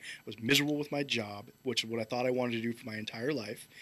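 A man with an American accent, bright, sharp tone, very clean recording against a silent background. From US West Coast. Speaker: army and air force veteran, charity founder. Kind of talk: casual chat.

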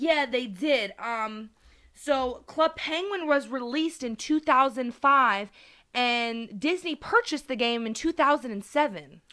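A woman speaks fairly slowly in a raised, projected voice that is bright and sharp, high in pitch with lively intonation. The recording is very clean with a silent background. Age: 20s. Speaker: podcast host, gamer. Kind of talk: casual chat.

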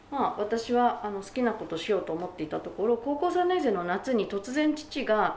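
Over noticeable background noise, a woman with a fairly high pitch speaks at a moderate pace with hardly any pauses and very wide pitch swings. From Japan, Gunma (Numata). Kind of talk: interview.

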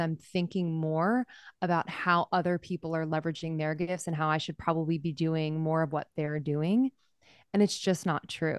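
Over a quiet background, a woman speaks at a moderate pace in an unremarkable speaking voice. Her fairly low pitch shows ordinary variation, and the sound is dry and close with no echo. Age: 30s. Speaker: podcast host. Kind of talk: interview.

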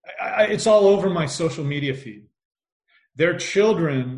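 A fairly high-pitched man with a Midwestern American accent at a fairly slow pace, lively in intonation, with big swings in loudness and audible room echo. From US, Indiana. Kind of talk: casual chat.

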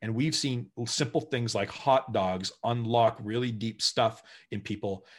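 In a Canadian accent, the speaker goes at a fairly slow pace with ordinary pitch variation, on a very clean recording with a silent background. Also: man. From Brantford, Ontario, Canada. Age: 40s. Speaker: community organization leader. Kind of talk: interview. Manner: animated.

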